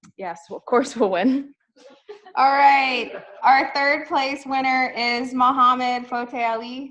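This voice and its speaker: A woman's high voice at a very slow pace, with ordinary pitch variation and big swings in loudness. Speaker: competition emcee. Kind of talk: event announcements.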